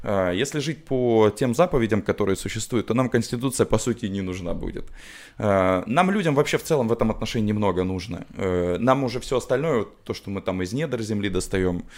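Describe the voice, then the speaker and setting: A man's normal speaking voice at medium pitch, lively intonation and a moderate pace, on a very clean recording with a silent background. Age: 30s. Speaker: designer and musician. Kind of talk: casual chat. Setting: studio.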